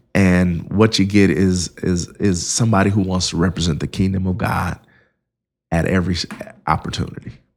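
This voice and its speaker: This man has a very deep, low pitch and an American accent. He speaks at a moderate pace with fairly even intonation. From Indiana, South Bend. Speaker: pastor. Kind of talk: interview.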